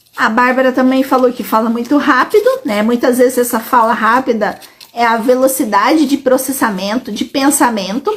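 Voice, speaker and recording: A woman with a high-pitched voice talks at a moderate pace with hardly any pauses and ordinary pitch variation, noticeable background noise behind her. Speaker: educational psychologist. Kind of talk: live stream Q&A. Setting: live stream on social media.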